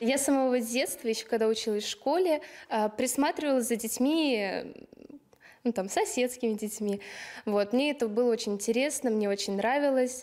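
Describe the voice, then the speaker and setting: At a moderate pace with long, frequent pauses, a woman speaks in a high voice of very even loudness and ordinary pitch variation, over a quiet background. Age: 20s. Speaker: kindergarten teacher. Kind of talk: interview. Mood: warm, smiling. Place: classroom. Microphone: handheld.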